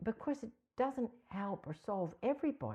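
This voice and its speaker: A woman with an American accent speaks at a fairly slow pace with very wide pitch swings. Her somewhat breathy tone is warm, dark and mellow. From mixed Australia (Canberra) and US (Ohio). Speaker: psychotherapy trainer. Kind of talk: podcast interview. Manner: warm, conversational.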